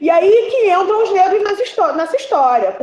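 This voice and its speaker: Over noticeable background noise and audible room echo, a woman talks at a fairly quick pace in an animated tone. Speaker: history student teaching a class. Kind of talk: online lecture.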